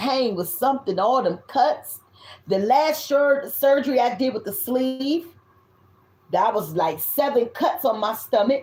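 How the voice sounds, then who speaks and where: Loud and animated, a woman speaks at a fairly slow pace with a high pitch and lively intonation. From US South. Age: 50s. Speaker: tarot reader. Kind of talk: tarot reading.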